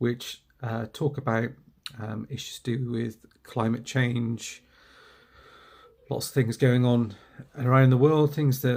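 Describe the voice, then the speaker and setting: A man with a medium pitch speaks very slowly in a monotone, flat intonation, leaving long, frequent pauses. The recording is very clean, with a silent background. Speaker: toy collector YouTuber. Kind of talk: casual vlog talk. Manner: halting, many fillers.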